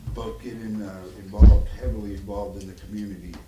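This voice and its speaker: Amid noticeable background noise and audible room echo, a man with a fairly low pitch talks at a fairly slow pace with very wide pitch swings. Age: 60s. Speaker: job applicant, retired code inspector. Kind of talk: job interview at town meeting.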